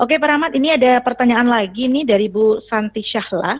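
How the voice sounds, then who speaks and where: Shrill and very fast, this woman's voice has ordinary pitch variation. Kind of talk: formal moderator.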